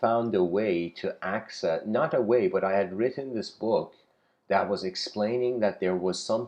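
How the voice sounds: The reading voice sounds natural, and its pitch varies an ordinary amount.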